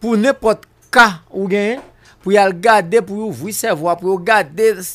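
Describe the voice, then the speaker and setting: A man speaks in a high voice. His pace is very slow. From Haiti. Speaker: political commentator; guest. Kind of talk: radio talk show interview. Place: studio. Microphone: studio mic.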